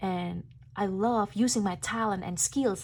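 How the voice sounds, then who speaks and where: Captured on a very clean recording with a silent background, a woman with a non-native accent speaks fairly slowly with ordinary pitch variation. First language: not English. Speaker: tarot reader. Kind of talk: tarot reading monologue.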